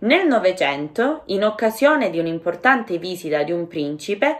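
Her pitch is medium and swings very widely. The woman keeps a moderate pace. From Calabria, Catanzaro. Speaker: Italian language teacher. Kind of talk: language-learning listening lesson narration.

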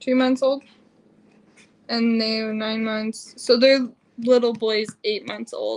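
A woman with a fairly high pitch talks at a very slow pace in a monotone, flat intonation, leaving long, frequent pauses. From Utah. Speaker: family vlogger, mother; family vlogger. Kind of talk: casual livestream chat. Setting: home livestream. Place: home room. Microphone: phone near.

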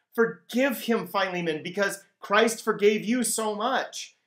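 A high-pitched man speaks in a quiet background with audible room echo. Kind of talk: devotional teaching talk. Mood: warm and earnest.

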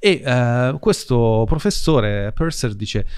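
The background is quiet. A man speaks at a medium pitch. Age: 40s. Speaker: podcast host and financial educator; podcast host, financial educator. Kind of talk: conversational interview. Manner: casual, animated. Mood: casual, conversational. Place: studio. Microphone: studio mic.

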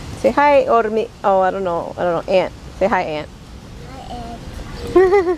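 A woman speaks at a very slow pace with big swings in loudness, against noticeable background noise. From Peru. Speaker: vlogger. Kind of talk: casual chat. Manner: animated.

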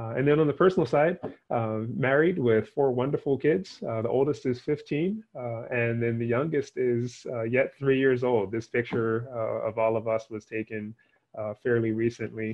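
Ordinary pitch variation runs through speech at a moderate pace. The background is quiet. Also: man. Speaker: invited guest lecturer. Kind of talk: lecture. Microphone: headset.

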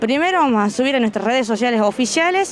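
A woman speaks at a fairly quick pace. Light background noise can be heard. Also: dry sound with no echo. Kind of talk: interview answer. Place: open country. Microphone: handheld.

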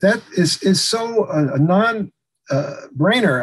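A man talks with very wide pitch swings and a somewhat breathy voice. The background is quiet. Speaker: radio host. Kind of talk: tutorial. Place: home room. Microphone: video call.

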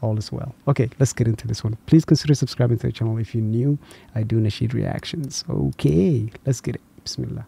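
A soft-spoken man talks at a fairly quick pace in a dark, mellow, somewhat breathy tone. His pitch is medium with ordinary variation, and the sound is dry with no echo. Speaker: reaction youtuber. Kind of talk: casual chat. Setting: home at night. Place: home room. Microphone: studio mic.

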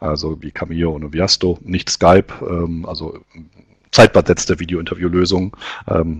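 A man's very deep, low, somewhat breathy voice, monotone and flat in intonation, over a quiet background. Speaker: webinar host presenting recruiting survey results. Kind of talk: webinar presentation. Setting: online webinar. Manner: hesitant, many filler sounds.

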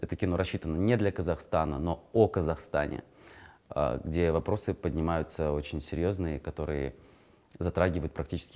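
A man with a very deep, low pitch and a dark, mellow tone talks at a fairly quick pace with vocal fry, ordinary pitch variation, and long, frequent pauses. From Kazakhstan. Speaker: actor. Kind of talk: interview. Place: studio. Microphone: lapel.

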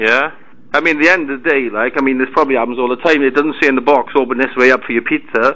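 Speaking very fast with a Welsh accent, a man uses a bright, sharp tone at medium pitch and fairly even intonation. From Wales, Merthyr Tydfil; Wales. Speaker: caller. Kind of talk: complaint phone call. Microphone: poor audio quality; phone line.

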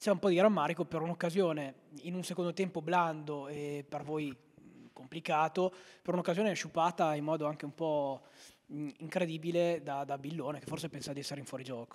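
A fairly quick pace against a quiet background. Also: man, fairly high pitch for a man. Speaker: sports commentator and interviewer. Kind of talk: live football commentary. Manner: fast, breathless play-by-play delivery; animated, rising on goals. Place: home room. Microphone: handheld.

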